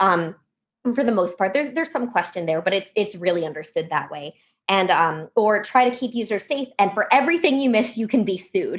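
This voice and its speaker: A woman with a medium pitch speaks in an animated tone with lively intonation. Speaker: think tank policy fellow. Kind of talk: podcast interview. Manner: fast.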